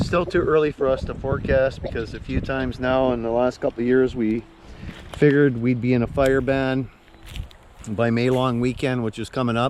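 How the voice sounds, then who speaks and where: Amid noticeable background noise, a man of medium pitch talks at a moderate pace with fairly even intonation. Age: 60s. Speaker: outdoors vlogger. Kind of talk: casual vlog talk while walking. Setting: outdoors on a nature walk.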